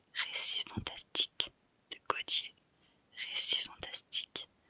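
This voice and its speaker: Whispering at a very slow pace with long, frequent pauses, a woman is heard in a dry, close sound with no echo. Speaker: ASMR content creator. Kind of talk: ASMR whispered book-title reading. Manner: whispered, soft, slow, repeating each title twice.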